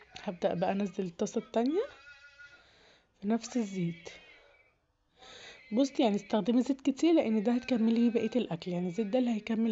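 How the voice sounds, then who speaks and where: Speaking with an Egyptian accent, a woman uses fairly high pitch and a fairly quick pace broken by long, frequent pauses. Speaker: home cooking youtuber. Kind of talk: cooking tutorial. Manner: casual, conversational.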